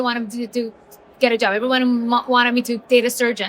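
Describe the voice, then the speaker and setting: A woman talks at a very fast pace with a non-native accent. Her pitch is high. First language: not English. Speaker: entrepreneur, author. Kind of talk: interview. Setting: business conference.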